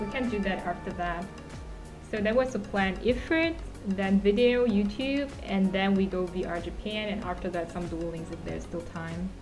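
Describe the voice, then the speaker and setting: Clear music plays behind a woman speaking at a moderate pace. Her pitch varies in an ordinary way. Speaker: streamer. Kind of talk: casual livestream chat. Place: home room. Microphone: studio mic.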